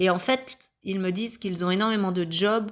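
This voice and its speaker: A woman's plain, everyday voice at a moderate pace with ordinary pitch variation, on a very clean recording with a silent background. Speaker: spiritual medium, card reader. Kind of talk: channelled card reading monologue.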